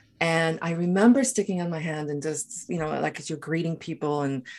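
Against a quiet background, a woman with a very deep, low pitch speaks at a moderate pace with lively intonation. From South Africa. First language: Afrikaans. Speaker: author and activist. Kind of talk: interview conversation.

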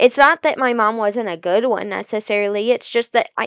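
A woman at a fairly high pitch, moderate pace and ordinary pitch variation, over a quiet background. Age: 20s. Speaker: podcast host, young mother. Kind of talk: casual solo monologue. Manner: informal, rambling.

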